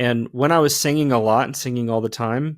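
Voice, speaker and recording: A man with a normal speaking voice, medium pitch, fairly even intonation and a moderate pace, on a very clean recording with a silent background. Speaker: podcast host, former worship leader. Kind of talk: casual chat.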